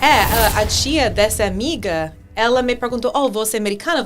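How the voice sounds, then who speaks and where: A woman with an English accent and lively intonation, with music in the background. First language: English (speaking Portuguese). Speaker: English teacher. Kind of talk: casual chat. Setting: podcast studio. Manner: halting.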